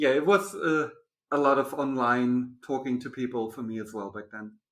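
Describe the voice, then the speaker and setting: The speaker talks at a moderate pace with a German accent and ordinary pitch variation. Long, frequent pauses break up the speech, and the loudness swings widely. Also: man. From Germany. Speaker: podcast host. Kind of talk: casual interview chat.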